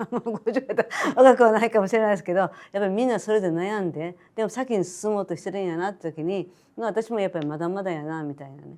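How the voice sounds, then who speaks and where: Over a very clean recording with a silent background, a woman speaks at a very fast pace, with a dark, mellow tone, a medium pitch and big swings in loudness. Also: ordinary pitch variation. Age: 70s. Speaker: boutique owner. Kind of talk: interview answer.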